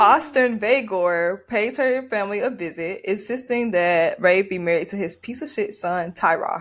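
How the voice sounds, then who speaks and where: With a Memphis accent, a woman talks at a moderate pace and medium pitch, her intonation lively and hardly any pauses between words. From US South, Memphis. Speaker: podcast co-host. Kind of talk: reading prepared recap. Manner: halting over names.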